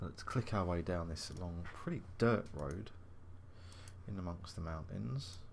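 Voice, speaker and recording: With an English accent, the speaker goes at a fairly slow pace with long, frequent pauses, sounding somewhat breathy against audible room echo. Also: man, very deep, low pitch for a man, ordinary pitch variation. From England. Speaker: gaming video host. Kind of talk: let's play commentary. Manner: casual, thinking aloud.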